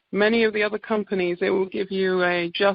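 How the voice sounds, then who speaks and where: Here a woman speaks with an English accent. Her pitch sits in the medium range. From England. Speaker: naturopath. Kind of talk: sales presentation on conference call. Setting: conference call.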